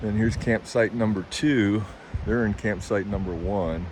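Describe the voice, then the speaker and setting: Noticeable background noise runs under this recording. A man speaks at a moderate pace in a fairly low pitch. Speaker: camping vlogger. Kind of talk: walking tour vlog. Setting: outdoors. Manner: casual, enthusiastic.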